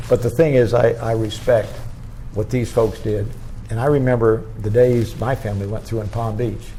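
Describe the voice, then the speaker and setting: Medium male pitch and fairly even intonation at a moderate pace, with audible room echo. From Florida. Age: 90s. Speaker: retired politician. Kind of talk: oral history interview. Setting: museum.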